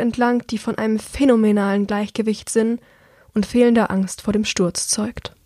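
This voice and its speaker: On a very clean recording with a silent background, a woman with a fairly high pitch speaks at a moderate pace in a monotone, flat intonation. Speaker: audiobook podcast narrator. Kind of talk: reading aloud.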